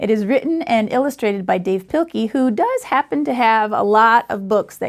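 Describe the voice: Someone reads a text aloud. The delivery is plain.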